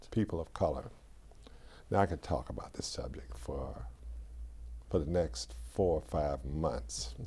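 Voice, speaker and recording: Speaking with an American accent, a man with a very deep, low pitch and a dark, mellow tone talks at a fairly slow pace, using vocal fry and long, frequent pauses. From US South, Atlanta. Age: 70s. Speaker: historian, former professor. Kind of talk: interview. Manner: halting.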